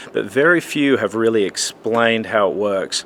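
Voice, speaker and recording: In an Australian accent, a man talks at a fairly quick pace with ordinary pitch variation. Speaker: church lighting technician and conference speaker. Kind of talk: promotional video message. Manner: casual, conversational.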